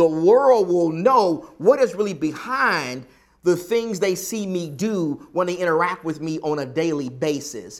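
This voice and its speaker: A man with a Southern US accent, high in pitch, fairly slow in pace and lively in intonation. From US South. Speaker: preacher. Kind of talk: sermon. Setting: church.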